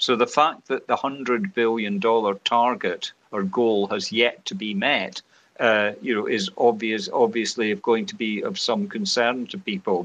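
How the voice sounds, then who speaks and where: A man with a normal speaking voice, lively intonation and a moderate pace. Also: medium pitch for a man. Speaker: climate science panel chair. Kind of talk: interview.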